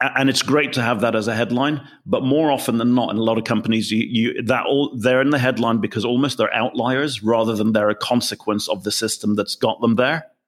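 With a British accent, a man speaks at a fairly quick pace with hardly any pauses, very even loudness and fairly even intonation, in a very clean recording with a silent background. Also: medium pitch for a man. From England. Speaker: business consultant. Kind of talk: interview.

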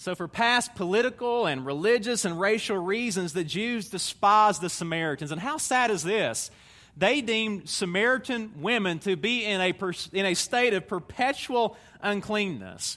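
A man's raised, projected voice, high in pitch with a bright, sharp tone and a Southern US accent, ordinary pitch variation and a moderate pace, on a very clean recording with a silent background. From Tennessee, US South. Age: 30s. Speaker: visiting preacher. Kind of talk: sermon. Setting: church stage with audience.

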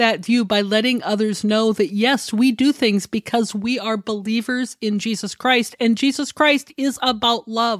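A woman speaks in a passionate tone at a fairly high pitch and fairly slow pace. The sound is dry and close, with no echo. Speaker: pastor and podcast host. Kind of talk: sermon.

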